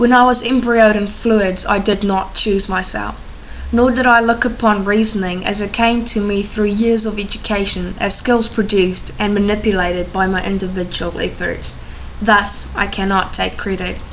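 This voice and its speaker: The speaker keeps a monotone, flat intonation at a moderate pace, with noticeable background noise behind. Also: woman. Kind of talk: spoken word poetry performance.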